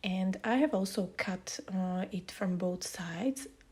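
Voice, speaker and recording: A somewhat breathy woman's voice at a very slow pace. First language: not English. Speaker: scrapbooking youtuber. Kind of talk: tutorial. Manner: hesitant, many fillers.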